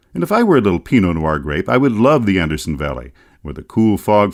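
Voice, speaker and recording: In a very clean recording with a silent background, a man speaks with vocal fry. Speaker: author narrator. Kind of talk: audiobook travel narration. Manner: wry, humorous.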